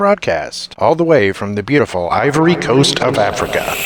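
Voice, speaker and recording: Against noticeable background noise, a man speaks at a fairly high pitch with very wide pitch swings. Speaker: voice actor. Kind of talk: radio announcer read.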